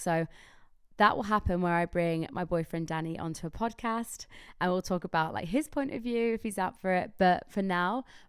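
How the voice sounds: A woman's raspy, fairly low voice with a clear, smooth tone and ordinary pitch variation, on a very clean recording with a silent background. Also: moderate pace.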